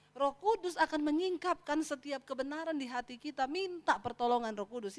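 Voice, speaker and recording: A woman's animated voice with very wide pitch swings. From Sulawesi, Indonesia. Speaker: pastor. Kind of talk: sermon. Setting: church. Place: church. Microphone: handheld.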